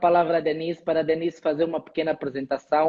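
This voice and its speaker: The speaker is a man. He talks with an Angolan accent. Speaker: HR lecturer and live stream host. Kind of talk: live stream conversation.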